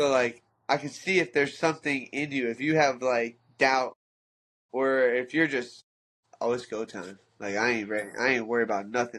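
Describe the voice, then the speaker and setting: Over a quiet background, a man with a bright, sharp tone talks at a medium pitch with fairly even intonation. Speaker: fighter and coach. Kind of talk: casual chat.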